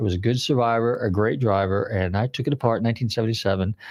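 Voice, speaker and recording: A man with a medium-pitched voice talks at a very fast pace, his pitch rising and falling in an ordinary way. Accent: American. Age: 60s. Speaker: radio host, car appraiser. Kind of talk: casual chat. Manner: halting, filler-heavy.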